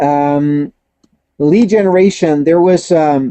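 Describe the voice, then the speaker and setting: The speaker is a man with a fairly high pitch. He talks at a very slow pace. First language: not English. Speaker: network marketing trainer. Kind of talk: webinar Q&A.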